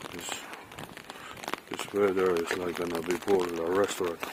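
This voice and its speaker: A man at a moderate pace, monotone and flat, over noticeable background noise. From Philippines. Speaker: vlogger. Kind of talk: casual vlog narration. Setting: outdoors in rain.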